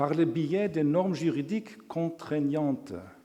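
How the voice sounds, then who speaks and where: A man with a strong non-native accent and lively intonation. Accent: strong foreign accent in French. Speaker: law professor. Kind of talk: lecture. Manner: halting.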